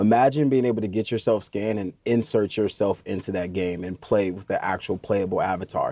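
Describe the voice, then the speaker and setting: Speaking at a fairly quick pace with hardly any pauses, a man with an American accent has a fairly low pitch, a dark, mellow tone, and fairly even intonation. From Indiana, US Midwest. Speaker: 3D capture consultant. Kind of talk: podcast interview.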